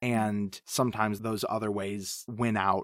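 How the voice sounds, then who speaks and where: Recorded dry and close with no echo, a man has a normal speaking voice at a fairly low pitch. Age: 30s. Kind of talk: casual chat. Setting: remote recording call.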